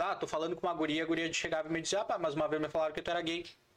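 Noticeable background noise behind a man's high voice. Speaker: podcast host. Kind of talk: casual chat. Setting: studio. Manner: animated.

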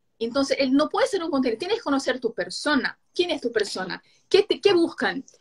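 At a moderate pace, a woman speaks in a high pitch that swings very widely. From Brazil, Rio de Janeiro. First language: Portuguese (speaking Spanish). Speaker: digital marketing specialist. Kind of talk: live stream conversation.

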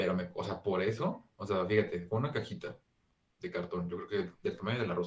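With lively intonation and a fairly quick pace, a man's voice comes out somewhat breathy. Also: fairly low pitch for a man. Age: 20s. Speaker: podcast co-host. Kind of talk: casual chat.

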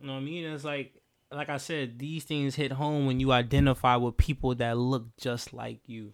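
A man's medium-pitched voice at a moderate pace, with fairly even intonation and big swings in loudness. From Houston, Texas. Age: 20s. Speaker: podcast co-host. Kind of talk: casual chat.

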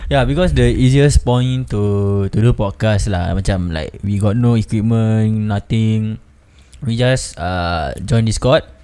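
The man has a fairly low pitch and a dark, mellow tone. He speaks at a very slow pace. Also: ordinary pitch variation. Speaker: podcast host. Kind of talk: casual chat.

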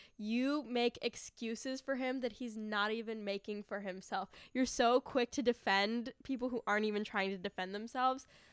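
In a normal speaking voice, a woman talks at a moderate pace and fairly high pitch, with fairly even intonation and hardly any pauses. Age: 20s. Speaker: guest, host's roommate. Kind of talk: casual chat.

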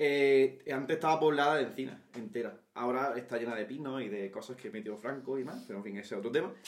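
Speaking at a very fast pace with hardly any pauses, this man has a medium pitch and ordinary pitch variation. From Andalusia, Granada. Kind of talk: casual chat.

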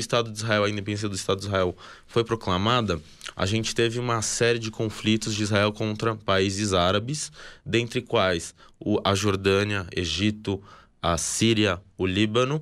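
An unremarkable speaking voice, a man's fairly low pitch with ordinary pitch variation moves at a moderate pace on a very clean recording with a silent background. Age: 20s. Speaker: army reservist, former combat soldier. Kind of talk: interview, explanatory talk.

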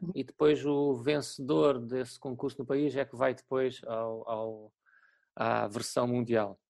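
Speaking very slowly, a man has a European Portuguese accent. His pitch is medium, with ordinary variation. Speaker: teacher. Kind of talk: casual interview. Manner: halting.

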